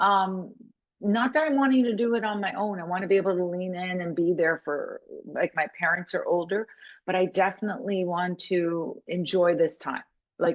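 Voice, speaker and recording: A woman speaks at a moderate pace and medium pitch. Her pitch varies in an ordinary way. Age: 60s. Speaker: coach. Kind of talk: interview conversation. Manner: halting, many restarts.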